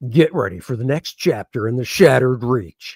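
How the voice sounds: Putting on a character voice, a man speaks in a dramatic tone at a moderate pace and a medium pitch.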